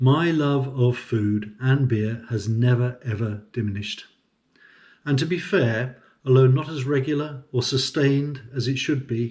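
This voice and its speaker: In a British accent, a somewhat breathy voice speaks at a fairly slow pace with ordinary pitch variation. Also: man, medium pitch for a man. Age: 60s. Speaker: semi-retired farm manager and consultant. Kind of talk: personal vlog monologue.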